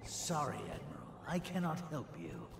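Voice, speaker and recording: Putting on a character voice at a fairly high pitch, a man talks at a moderate pace, with clear background noise and a slight echo. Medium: video game. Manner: haughty, contemptuous.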